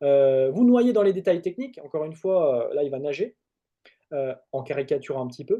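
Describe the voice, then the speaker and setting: A man with a high-pitched voice and a dark, mellow tone talks at a fairly quick pace. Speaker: trainer. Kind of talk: webinar presentation. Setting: webinar. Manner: hesitant, many fillers.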